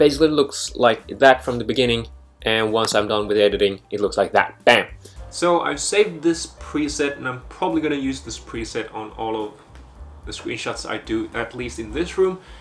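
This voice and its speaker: A man speaks at a moderate pace with big swings in loudness. Music plays in the background. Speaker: freelance filmmaker and content creator. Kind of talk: vlog tutorial.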